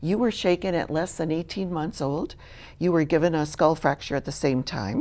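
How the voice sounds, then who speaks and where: A woman with an American accent speaks at a fairly low pitch in a dark, mellow tone. Her pace is moderate and her pitch variation ordinary. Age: 60s. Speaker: charity worker and teacher. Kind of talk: interview testimony.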